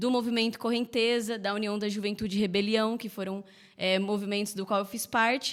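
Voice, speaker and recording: A woman with a normal speaking voice talks at a moderate pace and fairly high pitch. The recording is very clean, with a silent background. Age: 20s. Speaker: mayoral candidate. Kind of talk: political interview. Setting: podcast live stream.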